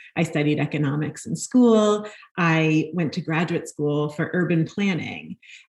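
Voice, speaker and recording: In an American accent, a woman talks fairly slowly in a very deep, low, somewhat breathy voice with ordinary pitch variation. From New York (Brooklyn). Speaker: nonprofit housing executive. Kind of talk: interview.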